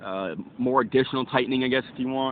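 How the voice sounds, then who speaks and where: Male speaker at a very fast pace. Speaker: YouTuber doing product review. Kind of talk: product review vlog. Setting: outdoors at a park. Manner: loud, shouting to reach distant camera; hesitant, many fillers.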